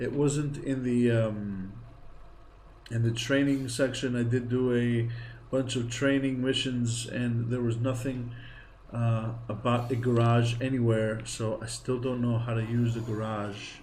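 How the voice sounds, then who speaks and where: Over audible room echo, a somewhat breathy man talks at a fairly slow pace and medium pitch with monotone, flat intonation. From Greece. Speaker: gaming streamer. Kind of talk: live game streaming commentary. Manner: casual, chatty.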